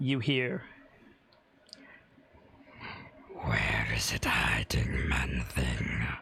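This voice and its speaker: Putting on a menacing character voice, a man growls at a very deep, low pitch, raspy and very slow, with long, frequent pauses. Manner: menacing growl.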